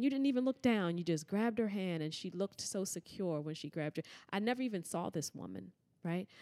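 A woman's medium-pitched voice with an American accent, a fairly quick pace, lively intonation and an ordinary speaking voice. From Washington, D.C. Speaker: yoga teacher and racial justice trainer. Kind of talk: casual interview.

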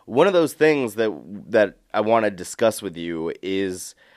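A man speaks at a moderate pace in a fairly low pitch. It is a normal speaking voice on a very clean recording with a silent background. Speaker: podcast host. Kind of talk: podcast interview.

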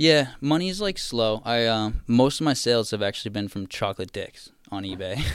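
A man with an American accent and an unremarkable speaking voice talks at a fairly quick pace and medium pitch, with lively intonation and hardly any pauses, in a very clean recording with a silent background. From Massachusetts, South Shore (Marshfield/Plymouth). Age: 20s. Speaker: meme creator. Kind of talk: casual chat.

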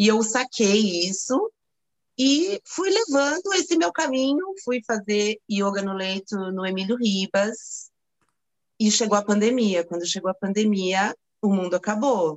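An unremarkable speaking voice moves with lively intonation. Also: woman, fairly high pitch for a woman, fairly slow pace. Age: 50s. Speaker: yoga teacher. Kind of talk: testimony.

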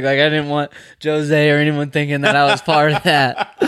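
A man speaks at a moderate pace in a fairly high pitch. His intonation is monotone and flat. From New York. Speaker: professional bull rider. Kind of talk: casual chat. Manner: quiet, reserved.

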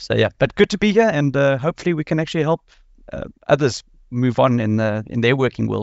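A man's fairly high voice in a South African accent, very fast and full of lively intonation. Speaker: scrum master. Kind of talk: panel discussion. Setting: video call.

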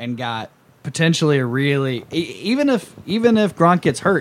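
Lively in intonation, a man with an American accent and a normal speaking voice speaks fairly high in pitch at a moderate pace. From US South. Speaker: podcast host. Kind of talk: casual chat.

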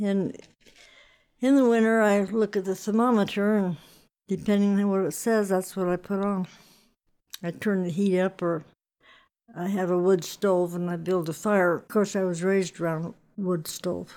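On a very clean recording with a silent background, the speaker uses an American accent and a dark, mellow tone, with fairly even intonation, a moderate pace and long, frequent pauses. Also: woman, medium pitch for a woman. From Wyoming, Sweetwater County. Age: 80s+. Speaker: rancher. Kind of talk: interview.

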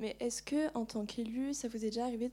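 Fairly high in pitch, a woman talks at a very fast pace. Her tone is dark and mellow. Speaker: audience member. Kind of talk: audience question and comment. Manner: halting, struggling to speak.

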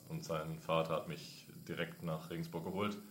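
At a moderate pace, a man with a slight Franconian accent speaks amid audible room echo. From Franconia, Nuremberg. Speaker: intern, former ice hockey goalie. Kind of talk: casual interview.

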